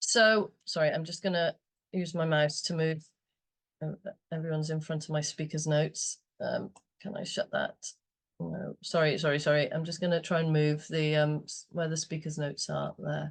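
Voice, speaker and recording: Delivered at a moderate pace, the voice is somewhat breathy, with fairly even intonation. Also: woman, very deep, low pitch for a woman. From Wales. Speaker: community group volunteer. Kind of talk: presentation. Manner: halting, many fillers.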